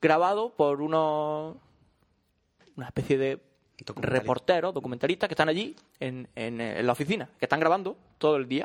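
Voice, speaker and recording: Lively in intonation, a man talks at a fairly quick pace with long, frequent pauses in a dry, close sound with no echo. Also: fairly high pitch for a man. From Málaga, Andalusia, Spain. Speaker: podcast host. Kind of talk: casual chat.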